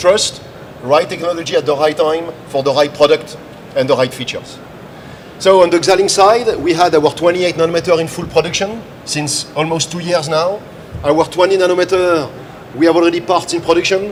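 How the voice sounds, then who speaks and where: Fairly quick speech with a French accent, fairly even intonation and noticeable background noise. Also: man, high pitch for a man. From France. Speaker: tech company director presenting. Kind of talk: live trade show presentation.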